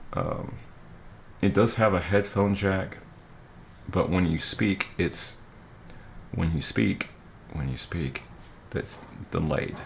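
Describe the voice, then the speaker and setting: With vocal fry and a very deep, low pitch, a man speaks at a very slow pace with long, frequent pauses and ordinary pitch variation. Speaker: tech tutorial youtuber. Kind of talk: tutorial. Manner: casual, repeats okay often.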